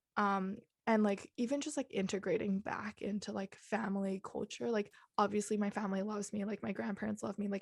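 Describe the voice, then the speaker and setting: A somewhat breathy woman speaks at a moderate pace and a medium pitch, with ordinary pitch variation, in a dry, close sound with no echo. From Hong Kong, Singapore and the Netherlands. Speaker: podcast co-host. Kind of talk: interview. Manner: hesitant, many fillers.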